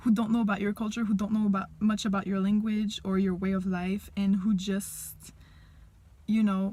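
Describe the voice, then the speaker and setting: The speech comes at a moderate pace in a somewhat breathy voice with a dark, mellow tone and flat, monotone intonation. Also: woman, medium pitch for a woman. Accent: Quebec. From Quebec. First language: French. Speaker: language teacher. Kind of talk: personal monologue to camera.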